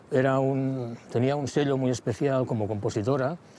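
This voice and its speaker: A man speaks in a western Catalan accent at a moderate pace. His pitch variation is ordinary. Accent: western Catalan (Lleida). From Lleida, Catalonia. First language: Catalan (speaking Spanish). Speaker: singer-songwriter. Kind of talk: interview. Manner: halting, with many repetitions.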